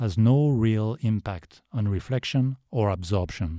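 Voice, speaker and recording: A man with a fairly low pitch, a dark, mellow tone and lively intonation, in a dry, close sound with no echo on a very clean recording with a silent background. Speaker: DIY video creator. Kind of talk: tutorial.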